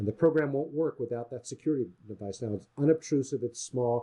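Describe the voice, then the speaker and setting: This man's voice sits at medium pitch, with a dark, mellow tone, a somewhat breathy quality and lively intonation. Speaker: software developer demonstrating product. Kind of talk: software demo sales pitch. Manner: casual with fillers.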